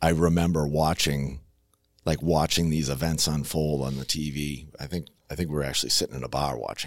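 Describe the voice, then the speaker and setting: A man talks in a very deep, low voice at a moderate pace with fairly even intonation. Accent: American. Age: 40s. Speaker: firefighter lieutenant and paramedic. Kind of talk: interview. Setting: studio.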